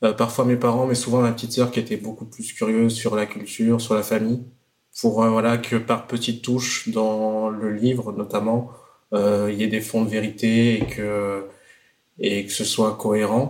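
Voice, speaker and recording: A man's medium-pitched voice stays monotone, its intonation flat. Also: moderate pace. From France. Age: 30s. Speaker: slam poet. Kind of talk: casual chat.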